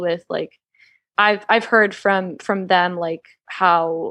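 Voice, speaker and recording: Someone speaks with an American accent and fairly even intonation against a quiet background. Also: woman. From US South, Georgia. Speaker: author and witch. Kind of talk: podcast interview conversation. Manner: fast; casual, filler-heavy.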